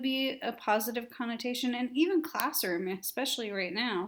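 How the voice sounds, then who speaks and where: A woman's high-pitched voice with lively intonation at a moderate pace, on a very clean recording with a silent background. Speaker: teacher. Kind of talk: lecture. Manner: casual, conversational.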